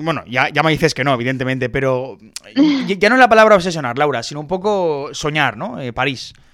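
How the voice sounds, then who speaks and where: A man talks at a fairly quick pace in a bright, sharp tone. His pitch varies in an ordinary way. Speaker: podcast host. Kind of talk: interview.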